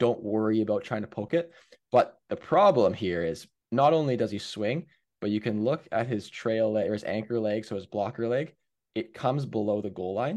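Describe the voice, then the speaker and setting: A man speaks in a normal speaking voice at medium pitch and a moderate pace, with ordinary pitch variation and a Canadian accent. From Canada, Hamilton, Ontario. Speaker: former pro hockey goalie and goalie coach. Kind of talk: casual interview with video breakdown.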